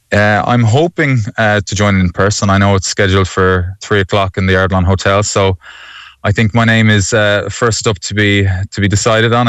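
With an Irish accent, a man speaks at a fairly quick pace and fairly low pitch, his intonation fairly even. The sound is dry and close with no echo, and the background is quiet. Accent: Irish (Galway). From Galway, Ireland. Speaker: new local councillor and secondary school teacher. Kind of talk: radio interview. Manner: halting.

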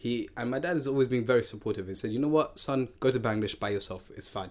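A fairly bright tone comes through at a fast pace, with ordinary pitch variation. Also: man, medium pitch for a man.

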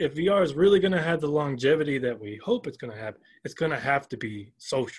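A somewhat breathy voice with an American accent, fairly quick, with very wide pitch swings, over a quiet background. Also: man. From US South, Georgia. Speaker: professor. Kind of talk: interview.

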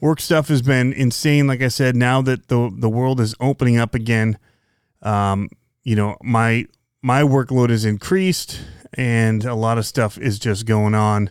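A fairly slow pace, very even loudness, and a very clean recording with a silent background. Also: man. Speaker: RC hobby podcast host. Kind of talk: solo casual podcast monologue. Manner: monotone.

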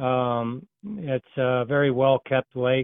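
An ordinary speaking voice from a man with an American accent, medium pitch, and fairly even intonation. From Iowa. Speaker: caller. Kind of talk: casual phone chat. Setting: phone call, outdoors on a service call.

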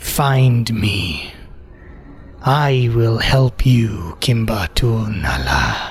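A man whispers in a breathy, put-on character voice at a very slow pace. Background noise is clear. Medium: actual play. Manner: seductive, knowing.

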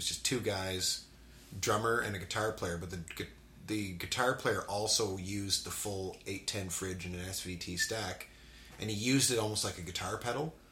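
A man speaks at a fairly low pitch with ordinary pitch variation over noticeable background noise. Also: moderate pace. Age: 40s.

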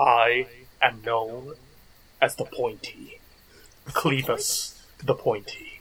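A man's put-on character voice at a very slow pace, broken by long, frequent pauses. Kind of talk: mock-epic oracle voice. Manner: grave, solemn, cryptic.

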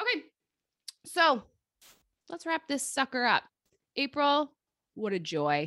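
A woman speaks in a raised, projected voice with a bright, sharp tone, high pitch and lively intonation. At a fairly slow pace with long, frequent pauses, the sound is dry and close with no echo. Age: 30s. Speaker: podcast host. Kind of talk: casual chat.

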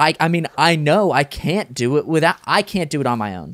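With an ordinary speaking voice, a man at a fairly high pitch talks at a moderate pace with lively intonation, recorded dry and close with no echo, very clean with a silent background. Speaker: podcast co-host. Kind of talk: casual chat and interview.

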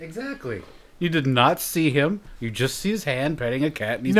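At a moderate pace, a man with a normal speaking voice talks fairly high in pitch using lively intonation. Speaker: podcast host. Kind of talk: casual, joking banter.

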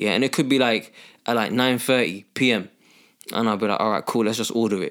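The man's pitch is medium, and his intonation stays fairly even. He talks fairly quickly in an unremarkable speaking voice. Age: 30s. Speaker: personal trainer. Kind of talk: casual chat.

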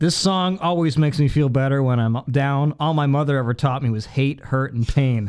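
An ordinary speaking voice moves at a moderate pace with hardly any pauses, ordinary pitch variation, and very even loudness. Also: man, fairly high pitch for a man. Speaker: podcast guest. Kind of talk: casual chat.

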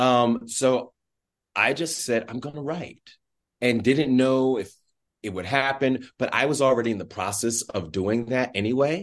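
Fairly slow and at medium pitch with ordinary variation, a man talks in an ordinary speaking voice. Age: middle-aged. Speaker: stage actor, playwright and director. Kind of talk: interview conversation.

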